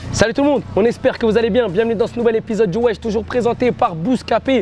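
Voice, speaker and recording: Energetic and very fast, a man speaks at an extremely high pitch with ordinary pitch variation over noticeable background noise. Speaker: hip-hop show host. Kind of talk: casual interview.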